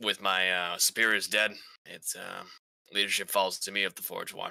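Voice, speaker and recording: In a put-on character voice, a man speaks raspy and fairly low at a moderate pace, his intonation monotone and flat. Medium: actual play. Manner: hesitant.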